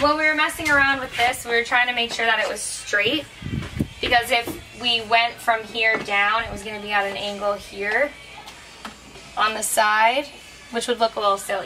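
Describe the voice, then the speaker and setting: Clear music plays in the background. A woman talks over it at a moderate pace. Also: ordinary pitch variation. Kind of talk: tutorial. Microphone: camera far.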